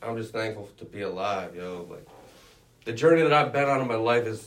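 A man speaks with a fairly low pitch. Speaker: student sports reporter. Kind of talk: casual sports chat.

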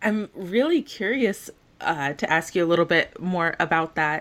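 A woman speaks in a normal speaking voice at a fairly slow pace, her pitch fairly low with ordinary pitch variation. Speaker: podcast host and career advisor. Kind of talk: interview.

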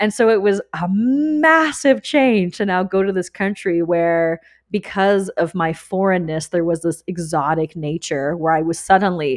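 In an ordinary speaking voice, a woman talks at a fairly slow pace with a fairly low pitch and ordinary pitch variation. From Canada. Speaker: fertility awareness and menstrual cycle teacher. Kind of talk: casual interview chat.

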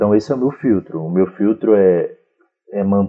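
A man talks in an ordinary speaking voice at a fairly slow pace. His pitch is fairly low with ordinary pitch variation. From Brazil, Federal District (Sobradinho). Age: 20s. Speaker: fiction writer. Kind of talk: casual chat.

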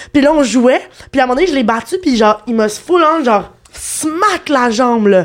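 At a moderate pace, the voice carries lively intonation and very even loudness. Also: woman, high pitch for a woman. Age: 20s. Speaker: dating show contestant. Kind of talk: casual chat. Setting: studio.

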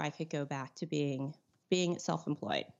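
A woman with a Californian accent at a moderate pace. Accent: Californian American. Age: 40s. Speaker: artist and teacher. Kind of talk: casual interview chat.

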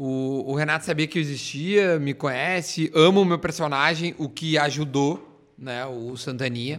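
A man with an unremarkable speaking voice talks at a fairly slow pace with hardly any pauses. His fairly high pitch shows ordinary variation. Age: 30s. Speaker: radio and TV personality. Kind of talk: casual chat.

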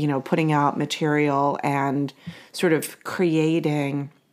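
A woman speaks with a New Jersey accent at a very deep, low pitch. The recording is very clean, with a silent background. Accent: New Jersey American. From New Jersey, US. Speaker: podcast host, homeopathy educator. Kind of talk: casual conversational podcast.

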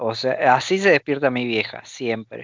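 The speaker is a man with a medium-pitched voice. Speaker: podcast co-host. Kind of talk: casual chat.

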